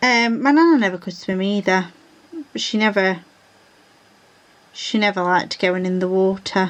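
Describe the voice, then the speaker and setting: A woman with a Yorkshire accent, at a medium pitch and moderate pace, with ordinary pitch variation and long, frequent pauses. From England, South Yorkshire (Rotherham). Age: 30s. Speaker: diamond painting vlogger. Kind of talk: casual chat. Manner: chatty, informal.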